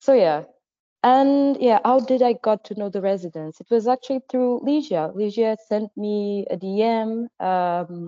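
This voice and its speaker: A woman with a Portuguese accent, her fairly high voice dark and mellow, fairly slow, with ordinary pitch variation, a dry, close sound with no echo and a quiet background. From Portugal, Madeira. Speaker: visual artist. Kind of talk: interview. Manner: halting, many fillers.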